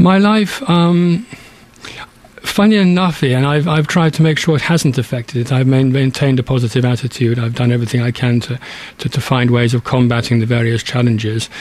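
Over noticeable background noise, a man talks at a fairly quick pace in a medium pitch with lively intonation. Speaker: charity branch chairman with Parkinson's. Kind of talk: interview. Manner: halting, stammering.

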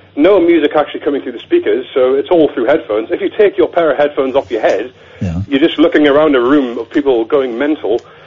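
Fairly quick talk from a man at a fairly high pitch, with ordinary pitch variation and noticeable background noise. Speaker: caller explaining silent discos. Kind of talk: casual chat. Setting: phone call.

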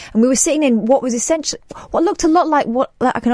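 A woman speaks with a dark, mellow tone. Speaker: radio host. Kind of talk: late-night talk radio chat. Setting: radio studio.

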